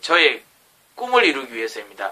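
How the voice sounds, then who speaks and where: A man speaks with a strong Gyeongsang accent. His pace is fairly quick. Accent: thick Gyeongsang dialect. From South Korea, Gyeongsang (Jinju). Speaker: aspiring educator and vlogger. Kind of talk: self-recorded vlog talk. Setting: alone in his bedroom at night.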